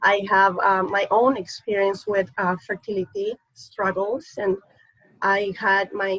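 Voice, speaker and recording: A woman with a slight non-native accent speaks at a fairly slow pace. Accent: slight foreign accent, Spanish-speaking. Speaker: surrogacy agency executive. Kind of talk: panel discussion.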